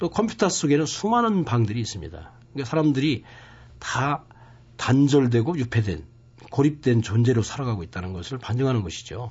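A man speaks at a fairly quick pace with a medium pitch and very wide pitch swings. His voice sounds somewhat breathy and strained. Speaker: poet. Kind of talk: interview. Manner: restrained.

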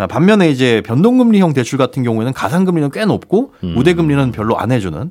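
Very wide pitch swings mark a man's medium-pitched voice. He speaks at a very fast pace. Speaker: financial research institute head. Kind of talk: radio economics news talk.

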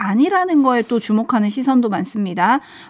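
With very wide pitch swings, a woman speaks high in her range. She keeps a fairly quick pace. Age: younger than the host. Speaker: radio writer and co-presenter. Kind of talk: radio news presenting.

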